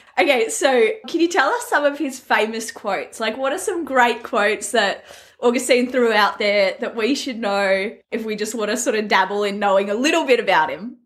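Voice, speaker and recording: Speaking with an Australian accent, a woman uses lively intonation. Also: fairly high pitch for a woman, moderate pace, hardly any pauses. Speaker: podcast host. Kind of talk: casual interview.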